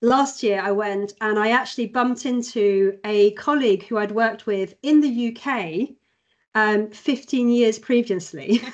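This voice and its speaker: Speaking with a British accent, a woman uses a fairly high pitch, ordinary pitch variation and a fairly slow pace. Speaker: company employee. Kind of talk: casual chat.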